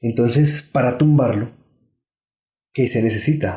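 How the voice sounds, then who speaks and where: Moderate pace, fairly even intonation, and a somewhat breathy quality. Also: man. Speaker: historian. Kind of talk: interview. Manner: halting.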